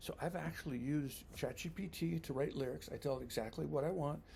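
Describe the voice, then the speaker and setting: With a dark, mellow tone and vocal fry, the voice moves at a fairly quick pace with ordinary pitch variation. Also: man. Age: 60s. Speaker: vlogger. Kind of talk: personal reflection monologue. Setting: home basement. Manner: casual, with hesitations and repeated words.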